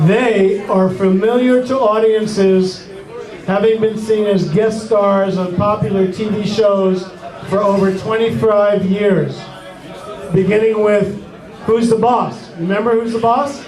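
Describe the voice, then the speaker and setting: A man speaks at a fairly slow pace in a high voice with fairly even intonation, with audible room echo and noticeable background noise. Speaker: event emcee and doo-wop singer. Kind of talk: stage introductions.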